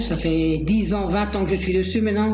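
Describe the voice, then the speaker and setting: A man heard with audible room echo and music in the background. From Belgium. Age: 50s. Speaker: diving instructor. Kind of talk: self-presentation with screen tour.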